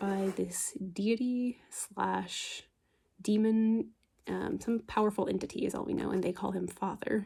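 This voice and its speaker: Soft-spoken and relaxed in tone, a woman speaks at a fairly slow pace. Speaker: book ASMR creator. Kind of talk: casual talk to camera, book review. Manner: soft-spoken, relaxed.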